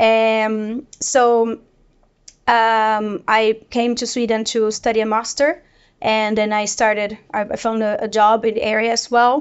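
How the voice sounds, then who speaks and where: A woman speaks in a Portuguese accent at a fairly slow pace. Her fairly high voice stays monotone and flat. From Brazil. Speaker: data product manager. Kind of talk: panel discussion. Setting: office.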